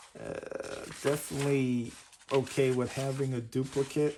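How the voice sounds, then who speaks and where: Very slow, monotone, flat speech from a man at medium pitch, over noticeable background noise. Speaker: comic collector YouTuber. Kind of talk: unboxing commentary.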